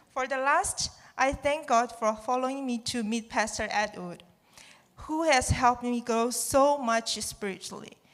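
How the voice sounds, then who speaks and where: With a Chinese accent, a woman speaks fairly slowly at a fairly high pitch with ordinary pitch variation. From China. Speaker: student. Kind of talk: testimony. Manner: halting.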